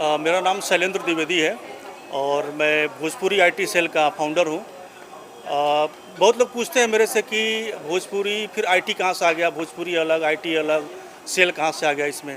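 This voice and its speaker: A man with a Bihari accent speaks in a high voice with ordinary pitch variation over noticeable background noise. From UP/Bihar, India. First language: Bhojpuri (speaking Hindi). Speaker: software engineer and founder of a Bhojpuri content group. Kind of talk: event interview. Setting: party event in Mumbai. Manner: hesitant, frequent fillers.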